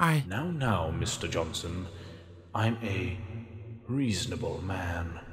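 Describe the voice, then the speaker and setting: A man speaks at a very slow pace, leaving long, frequent pauses. His pitch sits fairly low, with clear background noise behind him. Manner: menacing, calm.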